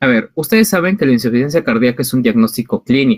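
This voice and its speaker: Pitched fairly high, a man's voice swings very widely in pitch, recorded with a dry, close sound with no echo. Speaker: physician lecturer. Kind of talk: online lecture to medical students. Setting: video call.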